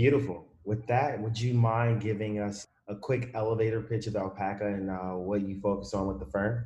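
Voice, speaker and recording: The man's voice has a dark, mellow tone and is somewhat breathy. He talks at a moderate pace with fairly even intonation and hardly any pauses. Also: fairly low pitch for a man. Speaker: podcast co-host. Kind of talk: casual interview.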